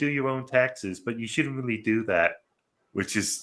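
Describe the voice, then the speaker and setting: A man talks at a moderate pace with a British accent. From Britain. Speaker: movie review podcast host. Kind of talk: casual chat.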